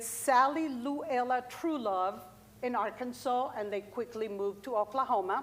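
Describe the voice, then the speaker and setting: A woman with a Colombian accent, a fairly high pitch and a fairly slow pace. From Colombia, Bogota. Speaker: farmer. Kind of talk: workshop talk.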